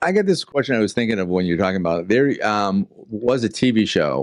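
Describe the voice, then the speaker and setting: A man at a very fast pace, with a fairly low pitch and very wide pitch swings. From Boston. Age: 60s. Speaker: podcast host. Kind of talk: interview.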